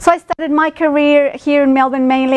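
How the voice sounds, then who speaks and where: A woman talks with a Spanish accent. Her pace is fairly quick. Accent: Spanish-speaking. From Mexico City. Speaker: speaker at industry roadshow, finance professional. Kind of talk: presentation to audience. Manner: many fillers, hesitant.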